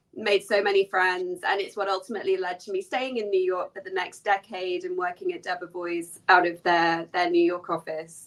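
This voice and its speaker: Speaking in an English accent with hardly any pauses, a woman keeps a moderate pace and a medium pitch, her intonation monotone and flat. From English Midlands. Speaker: lawyer. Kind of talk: interview. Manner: casual, many fillers.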